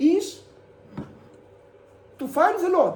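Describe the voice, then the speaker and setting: In a room with audible echo, a woman with a dark, mellow tone speaks at a very slow pace. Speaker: university lecturer. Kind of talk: lecture. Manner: halting.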